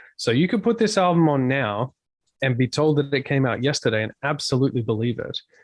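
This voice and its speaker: Speaking at a very fast pace, a man has an Australian accent. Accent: Australian twang. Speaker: touring metal musician. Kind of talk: podcast interview. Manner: animated.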